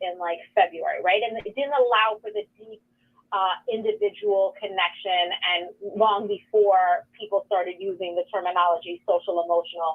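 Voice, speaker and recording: A woman in a New York accent speaks at medium pitch and a moderate pace, with ordinary pitch variation and big swings in loudness. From New York City, the Bronx and Queens. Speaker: nonprofit executive director. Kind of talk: interview. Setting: radio studio.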